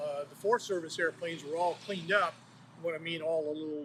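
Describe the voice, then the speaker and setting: Fairly high in pitch, a man talks with fairly even intonation. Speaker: retired smokejumper. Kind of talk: oral history interview. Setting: background construction noise. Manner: matter-of-fact.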